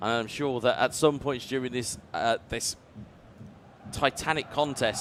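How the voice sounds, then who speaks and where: With a British accent, a man talks fairly slowly at a medium pitch, using ordinary pitch variation and stopping often for long pauses. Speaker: esports commentator. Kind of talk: live commentary. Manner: animated.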